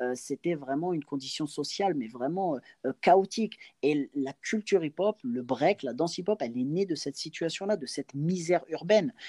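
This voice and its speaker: With a dark, mellow tone and fairly high pitch, a man talks at a moderate pace in a dry, close sound with no echo. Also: lively intonation. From France, Angers (Maine-et-Loire). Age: 30s. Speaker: breakdancer and entrepreneur. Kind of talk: interview. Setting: remote recording.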